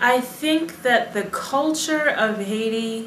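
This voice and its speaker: A woman talks with lively intonation. There is audible room echo and light background noise. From United States. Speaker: Foreign Service officer; interviewee. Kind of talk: interview. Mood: calm, reflective. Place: home room.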